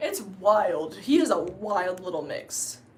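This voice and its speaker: With an American accent, a woman is heard amid noticeable background noise and audible room echo. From US South, coastal North Carolina. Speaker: YouTuber. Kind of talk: casual live-stream Q&A. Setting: live stream. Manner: casual, filler-heavy.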